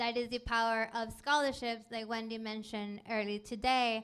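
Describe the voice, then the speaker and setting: A woman with a Spanish accent speaks at a fairly high pitch in a bright, sharp tone with monotone, flat intonation. The recording is very clean, with a silent background. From Mexico, Ensenada. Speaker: STEM program director. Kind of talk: panel talk to students.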